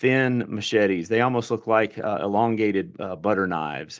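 Against a quiet background, a man at medium pitch talks at a moderate pace in a Southern US accent, with ordinary pitch variation. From US South, east central Alabama. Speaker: agricultural extension director. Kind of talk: radio interview. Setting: phone call.

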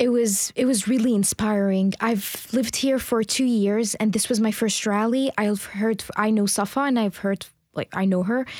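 A woman with a fairly high pitch talks at a moderate pace with fairly even intonation and very even loudness. It is an unremarkable speaking voice. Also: hardly any pauses. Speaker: rally participant. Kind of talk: field interview. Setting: outdoors.

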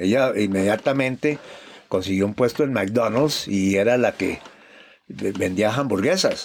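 Speaking at a very slow pace, a man uses ordinary pitch variation. The recording is very clean, with a silent background. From Bogotá, Colombia. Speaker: fugitive former banker. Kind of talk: interview testimony.

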